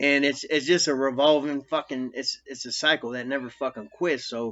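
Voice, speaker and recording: Using a normal speaking voice, a man with an American accent talks at a moderate pace and a fairly high pitch. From US Midwest, Quad Cities, Iowa. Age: 40s. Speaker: ex-convict vlogger. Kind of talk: casual monologue. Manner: rambling with many fillers and profanity.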